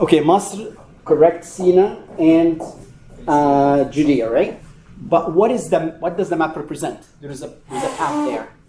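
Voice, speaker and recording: Noticeable background noise and audible room echo surround a man with a high pitch and ordinary pitch variation. He speaks at a moderate pace, his loudness swinging widely. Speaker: Bible study teacher. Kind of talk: lecture.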